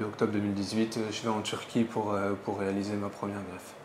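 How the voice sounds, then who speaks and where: Noticeable background noise sits behind a man talking at a fairly quick pace. His fairly low voice has monotone, flat intonation. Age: 20s. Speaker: hair transplant patient. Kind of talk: interview. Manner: hesitant, many fillers.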